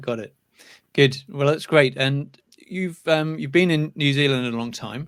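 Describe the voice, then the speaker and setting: A man with a British accent speaks at a fairly slow pace in a fairly high pitch, with big swings in loudness. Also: ordinary pitch variation. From UK. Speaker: channel host, interviewer. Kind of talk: interview.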